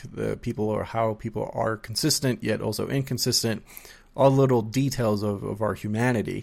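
Over a very clean recording with a silent background, a man with an ordinary speaking voice talks at a moderate pace with fairly even intonation. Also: medium pitch for a man. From US, child of Colombian immigrants. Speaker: podcast host and therapist. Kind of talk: casual interview chat.

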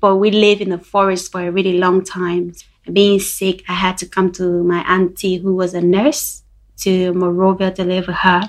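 A woman's medium-pitched voice with monotone, flat intonation. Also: moderate pace. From Liberia. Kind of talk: testimony.

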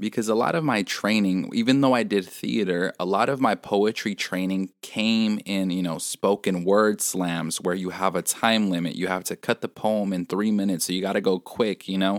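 A man speaks at a moderate pace with hardly any pauses, his pitch fairly low and its variation ordinary. The sound is dry and close with no echo, and the recording is very clean over a silent background. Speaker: podcast host and spoken word poet. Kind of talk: reflective solo monologue. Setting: quiet room, home recording. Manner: clearer, more concise than usual; casual, many fillers and repetitions.

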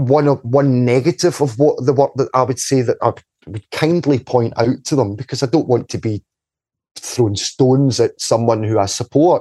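A medium-pitched man in a west of Scotland accent, moderate in pace, with ordinary pitch variation and a dry, close sound with no echo. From Scotland, Paisley area (Ferguslie Park). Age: 40s. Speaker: community activist. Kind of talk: casual interview.

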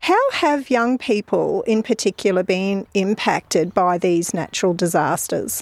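The recording is very clean, with a silent background. A woman speaks at a medium pitch with an Australian accent. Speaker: mental health social worker and podcast host. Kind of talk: interview. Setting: outdoors in a park.

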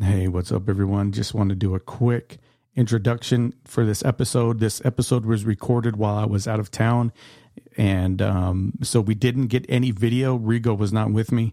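At a moderate pace, a man with a fairly low voice and a dark, mellow tone speaks with fairly even intonation in a dry, close sound with no echo. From Yuma, Arizona. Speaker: podcast host. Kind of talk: casual interview; spoken announcement. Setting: dining room.

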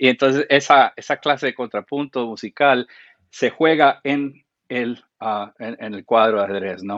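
A man in a plain, everyday voice, medium in pitch, at a fairly slow pace with ordinary pitch variation. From Central America (Guatemala, Costa Rica, Panama). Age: 40s. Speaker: film and TV composer. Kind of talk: interview.

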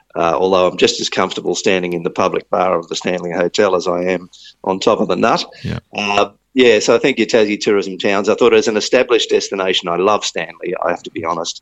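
Speaking very fast, a man talks with an Australian accent. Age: 50s. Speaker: tourism agency chief executive. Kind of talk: interview.

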